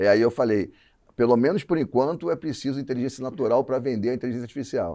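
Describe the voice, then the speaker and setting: In a quiet background, a man's medium-pitched voice has a dark, mellow tone. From Rio de Janeiro, Brazil. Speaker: advertising creative director. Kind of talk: podcast interview.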